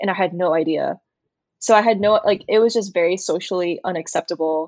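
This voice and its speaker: Speaking in an American accent with an unremarkable speaking voice, a woman uses a fairly low pitch, ordinary pitch variation, and a moderate pace, recorded dry and close with no echo. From US, New Jersey and Alabama. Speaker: illustrator. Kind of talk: interview.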